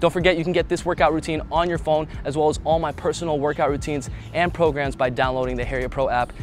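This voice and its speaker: A man talks at a very fast pace with fairly even intonation, the sound dry with no echo and music playing in the background. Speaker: fitness trainer. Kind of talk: casual vlog outro chat. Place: street. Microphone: lapel.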